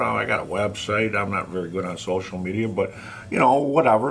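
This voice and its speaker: A man with a fairly low voice talks at a moderate pace with lively intonation over noticeable background noise. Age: 60s. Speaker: author and former inmate. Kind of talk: vlog rant. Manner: animated; halting, many fillers.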